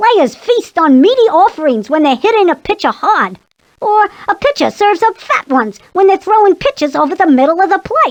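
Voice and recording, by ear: In a put-on character voice, the speaker talks at a moderate pace with an extremely high pitch.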